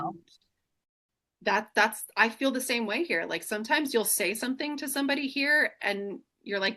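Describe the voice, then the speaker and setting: A woman speaks loudly at a moderate pace in a high, bright, sharp voice with lively intonation and long, frequent pauses. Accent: American. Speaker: single mother sharing her life story. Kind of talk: casual chat. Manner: animated.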